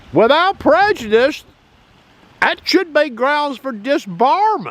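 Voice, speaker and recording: A man talks at an extremely high pitch that swings very widely. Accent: Southern US. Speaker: political commentator. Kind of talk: opinion monologue. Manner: animated.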